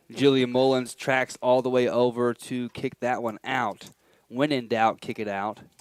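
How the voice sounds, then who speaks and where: A man with an unremarkable speaking voice and an American accent talks at a medium pitch and fairly slow pace, with a dry, close sound with no echo. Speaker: college sports commentator. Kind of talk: live commentary. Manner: casual, upbeat.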